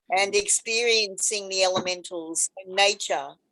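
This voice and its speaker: A woman's medium-pitched voice at a fairly slow pace. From Australia. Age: 70s. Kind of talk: interview storytelling.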